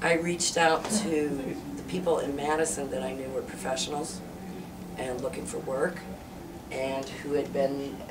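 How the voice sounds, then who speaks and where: Noticeable background noise runs under the clip. A woman speaks with ordinary pitch variation. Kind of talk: interview answer. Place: meeting room. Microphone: camera far.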